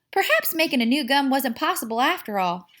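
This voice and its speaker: In a Southern US accent, a woman speaks at a moderate pace in a high-pitched, bright, sharp, raised and projected voice with very wide pitch swings. The recording is very clean with a silent background. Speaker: teacher. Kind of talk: children's picture book read-aloud.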